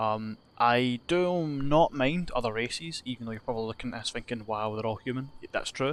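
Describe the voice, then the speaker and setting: A man with a Scottish accent speaks at a fairly quick pace. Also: medium pitch for a man, ordinary pitch variation. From Scotland. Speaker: gaming youtuber. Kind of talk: gameplay commentary. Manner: casual, rambling with fillers.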